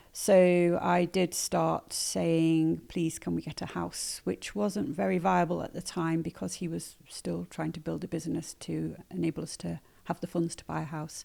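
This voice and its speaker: A woman speaks at a moderate pace with a slight northern English accent. The recording is very clean, with a silent background. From northern England, Manchester. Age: 60s. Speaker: nettle weaver and sustainability advocate. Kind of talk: podcast interview. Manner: hesitant, many fillers.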